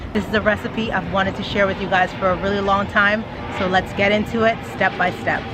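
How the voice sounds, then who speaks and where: A woman speaks at a fairly quick pace in a medium pitch with monotone, flat intonation, while music plays in the background and room echo is audible. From Trinidad. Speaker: family lifestyle vlogger. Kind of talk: cooking video narration.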